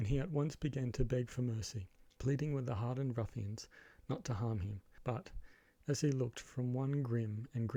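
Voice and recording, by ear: With ordinary rises and falls in pitch, the speaker reads aloud in a natural voice.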